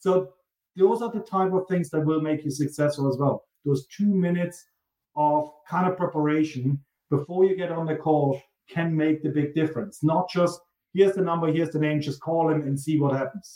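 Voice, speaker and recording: This man's dark, mellow voice comes with a German accent and fairly even intonation. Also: fairly high pitch for a man, moderate pace. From East Germany. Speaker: sales executive. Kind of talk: podcast interview.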